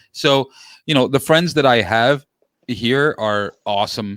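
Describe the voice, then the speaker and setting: A man with a New York accent talks in a dry, close sound that has no echo. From New York City, Queens. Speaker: sports podcast host, guest. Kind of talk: casual chat. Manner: loud.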